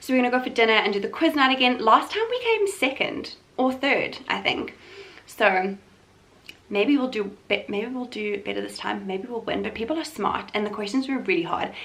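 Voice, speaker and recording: High in pitch, a woman talks over noticeable background noise. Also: lively intonation. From South Africa, Limpopo small town. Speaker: vlogger. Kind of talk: casual vlog chat. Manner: fast.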